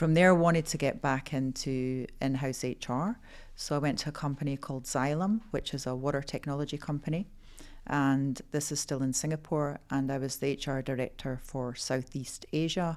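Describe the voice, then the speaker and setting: On a very clean recording with a silent background, the speech moves at a moderate pace with ordinary pitch variation. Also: woman, very deep, low pitch for a woman. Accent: Scottish. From Scotland. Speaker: HR executive. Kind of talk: interview.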